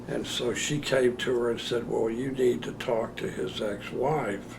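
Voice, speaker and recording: Recorded with noticeable background noise and audible room echo, a man speaks with fairly even intonation. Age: 70s. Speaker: interviewee sharing memories. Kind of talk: recorded personal interview. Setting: on-camera interview. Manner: halting, with many fillers.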